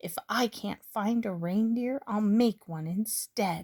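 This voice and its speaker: Putting on a growling character voice, a woman speaks at a medium pitch and a fairly slow pace. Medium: read story. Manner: snarling, scheming.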